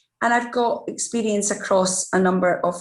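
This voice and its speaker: A woman in a Scottish accent talks at a moderate pace. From Scotland. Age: middle-aged. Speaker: diversity and inclusion executive. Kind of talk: interview.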